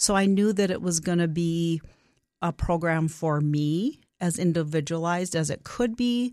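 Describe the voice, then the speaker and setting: Over a very clean recording with a silent background, a woman speaks at a moderate pace in a plain, everyday voice with ordinary pitch variation. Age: 60s. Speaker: nutrition coaching client. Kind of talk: interview about personal success story.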